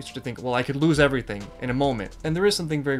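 Faint music plays in the background. The pitch varies in an ordinary way. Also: man. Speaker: video commentator. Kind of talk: reaction commentary on a cartoon episode. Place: home room.

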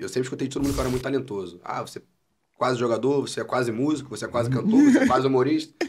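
With light background noise behind him, a man talks at a very fast pace, somewhat breathy, at a medium pitch with ordinary pitch variation. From Niterói / São Gonçalo, Rio de Janeiro state, Brazil; Rio de Janeiro state, Brazil. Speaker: comedian and musician; comedian. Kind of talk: casual chat. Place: studio. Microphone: studio mic.

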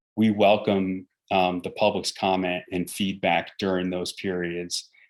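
Speaking fairly slowly in an eastern US accent, a man uses a very deep, low pitch and a flat, monotone delivery, captured in a very clean recording with a silent background. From New York City suburbs. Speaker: military garrison commander. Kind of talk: town meeting briefing and Q&A. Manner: halting, many fillers and repeats.

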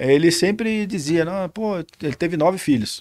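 A man's voice with lively intonation against a quiet background. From São Paulo state, Vale do Paraíba; São Paulo, Brazil. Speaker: military police lieutenant colonel; guest. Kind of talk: interview. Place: studio. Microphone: studio mic.

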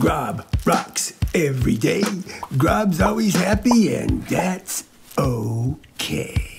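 In a cartoonish character voice, the speaker goes sing-song at a middle pitch and a very slow pace. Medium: puppet show. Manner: upbeat, sing-song.

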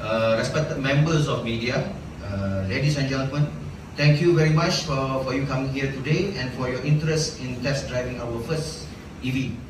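A man speaks at a moderate pace with ordinary pitch variation. Audible room echo and noticeable background noise fill the recording. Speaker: presenter. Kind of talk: formal speech. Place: hall.

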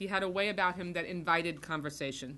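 Light background noise sits behind a woman's voice. Her pitch is fairly low, with a bright, sharp tone. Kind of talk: formal tribute speech. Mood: solemn, earnest. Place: meeting room. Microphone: podium.

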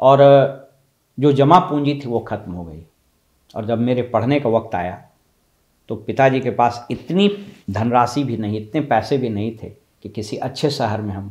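A man talks at a fairly slow pace in a medium pitch, with ordinary pitch variation. His loudness swings widely, and he takes long, frequent pauses. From Bihar, India (Dhanbad area, Nalanda roots); Bihar, India. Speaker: motivational speaker. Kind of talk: motivational talk. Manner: formal. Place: office. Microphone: lapel.

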